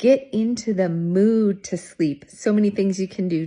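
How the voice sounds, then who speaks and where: Against a quiet background, a woman speaks at a medium pitch with a dark, mellow, somewhat breathy tone and ordinary pitch variation. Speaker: retirement wellness platform founder. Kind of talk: casual talk to camera, advice video. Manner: upbeat, energetic, chatty.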